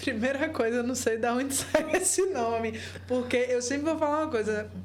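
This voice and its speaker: There is noticeable background noise and audible room echo around this woman's voice. She speaks high-pitched at a moderate pace, with ordinary pitch variation. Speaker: entrepreneur, business founder and podcast co-host. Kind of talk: casual chat.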